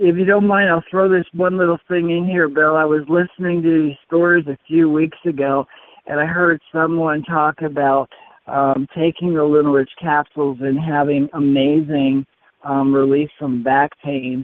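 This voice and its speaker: A man talks at a moderate pace in a fairly high voice, his intonation fairly even. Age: 60s. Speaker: testimonial caller, hand cyclist with polio. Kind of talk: testimony. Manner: halting.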